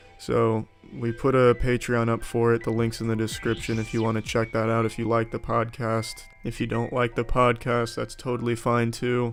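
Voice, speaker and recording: Music plays in the background. A man speaks at medium pitch and a moderate pace. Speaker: YouTuber. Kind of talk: personal announcement to viewers. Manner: monotone; unenthusiastic, flat.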